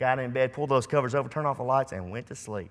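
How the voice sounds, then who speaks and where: A man's plain, everyday voice, medium in pitch, with ordinary pitch variation. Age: 40s. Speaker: preacher. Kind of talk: sermon.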